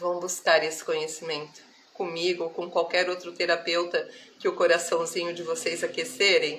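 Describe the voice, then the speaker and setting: Monotone, flat intonation at a moderate pace. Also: woman, fairly low pitch for a woman. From Brazil, countryside (interior). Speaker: spiritual therapist. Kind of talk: live stream spiritual talk. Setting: live stream. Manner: warm, affectionate.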